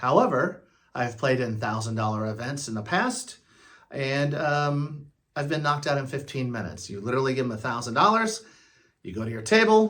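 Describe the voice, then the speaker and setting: This man talks at a moderate pace in a fairly high pitch. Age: 60s. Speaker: retired vlogger. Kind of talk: casual vlog monologue. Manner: halting, many fillers.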